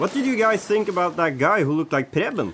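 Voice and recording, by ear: A man performs a put-on character voice, pitched high with big pitch swings. His tone is fairly bright with a slightly husky edge, and he moves at a fairly quick pace.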